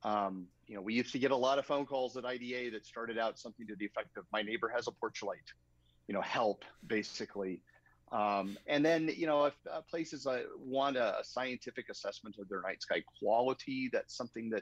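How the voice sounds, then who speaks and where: A man with an American accent speaks fairly quickly at a medium pitch, with ordinary pitch variation and a normal speaking voice. The sound is dry and close, with no echo. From Arizona, US Southwest. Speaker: astronomer and light pollution consultant. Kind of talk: interview, casual chat.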